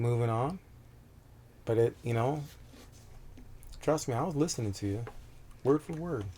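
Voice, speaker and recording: A man speaks in a calm tone at a moderate pace, somewhat breathy. He leaves long, frequent pauses. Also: medium pitch for a man, ordinary pitch variation. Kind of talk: interview answer. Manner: calm, direct.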